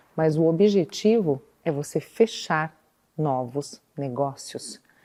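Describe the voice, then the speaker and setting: A woman's very deep, low voice carries a dark, mellow tone and lively intonation. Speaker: architecture course instructor. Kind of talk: online course lesson.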